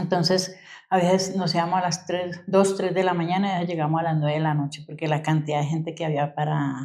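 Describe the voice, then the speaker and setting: A woman's very fast, monotone delivery with flat intonation, a fairly low pitch and a dark, mellow tone. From Colombia, Bogotá hills (Usaquén); born in Quindío. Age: 60s. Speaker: community elder. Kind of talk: oral history interview. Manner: halting.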